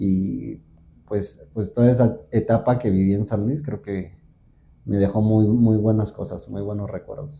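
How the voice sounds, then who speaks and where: A man's dark, mellow, somewhat breathy voice at a fairly low pitch, fairly slow, with ordinary pitch variation. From central Mexico (Guanajuato). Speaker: folk dancer. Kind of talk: interview conversation.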